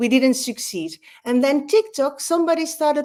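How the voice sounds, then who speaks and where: This woman speaks at a moderate pace in a high voice with a Dutch accent. Her intonation is lively. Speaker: learning expert and author. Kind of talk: conference talk. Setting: online conference. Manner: animated.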